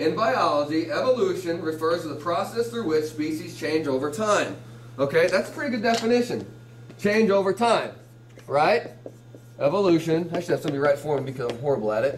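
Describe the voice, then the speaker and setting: With audible room echo and noticeable background noise, a man speaks at a fairly high pitch with lively intonation and long, frequent pauses. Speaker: teacher. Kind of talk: classroom lecture. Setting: classroom with students. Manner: fast.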